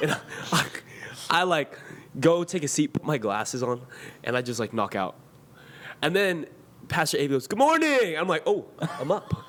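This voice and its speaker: Using a fairly high pitch with very wide pitch swings, a man speaks with long, frequent pauses. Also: moderate pace. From San Diego area, Chula Vista. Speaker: podcast co-host. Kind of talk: casual interview chat.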